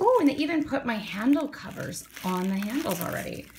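Over noticeable background noise, a woman talks at a moderate pace in an upbeat tone, her pitch swinging very widely. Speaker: forearm crutch user with chronic illness. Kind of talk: casual unboxing talk to camera. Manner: upbeat, chatty.

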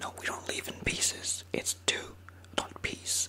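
Whispering from a man. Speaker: video creator. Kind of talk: playful role-play talk to camera. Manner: soft ASMR voice, mock-puzzled. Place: home room. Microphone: studio mic.

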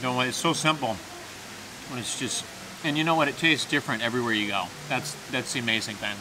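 Against clear background noise, a man speaks at a fairly quick pace with ordinary pitch variation. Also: medium pitch for a man.

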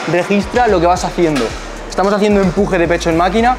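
Clear music plays in the background. Over it, a man talks with ordinary pitch variation.

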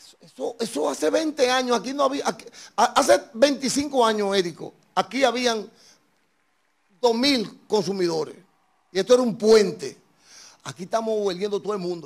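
Lively in intonation and animated in tone, a high-pitched man speaks with big swings in loudness and long, frequent pauses over a quiet background. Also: moderate pace. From Dominican Republic. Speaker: talk show host. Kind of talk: political interview. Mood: indignant political criticism. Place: studio. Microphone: handheld.

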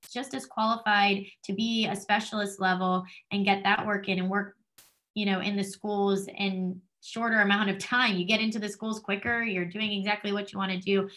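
Against a quiet background, a woman with a New Jersey accent talks in a bright, sharp tone with monotone, flat intonation. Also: medium pitch for a woman. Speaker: doctoral student in school psychology. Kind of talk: presentation. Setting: video call. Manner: fast. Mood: friendly, enthusiastic. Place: home room. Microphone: webcam.

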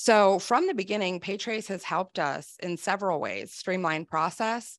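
With an American accent, a woman speaks at a moderate pace with ordinary pitch variation against a quiet background. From Wisconsin. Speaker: sales executive. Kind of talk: live webinar interview. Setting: video call. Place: office. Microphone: studio mic.

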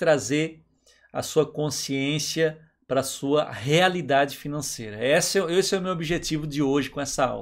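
With lively intonation and a fairly high pitch, a man speaks at a fairly slow pace in an ordinary speaking voice against a quiet background. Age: 40s. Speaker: online educator. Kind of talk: lecture. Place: home room.

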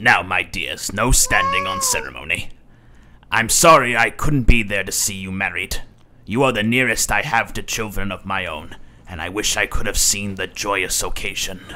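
His intonation lively, a man speaks at a moderate pace and a fairly low pitch. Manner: warm, fatherly.

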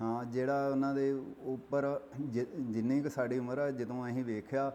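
A man's medium-pitched voice, flat and monotone, with very even loudness. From Punjab, India. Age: 60s. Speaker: village elder. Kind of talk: interview. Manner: halting.

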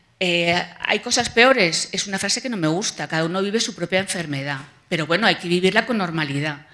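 A woman with a fairly low pitch talks at a fairly quick pace, her tone bright and sharp and her intonation lively. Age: 50s. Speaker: patient advocate. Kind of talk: testimony. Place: hall. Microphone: podium.

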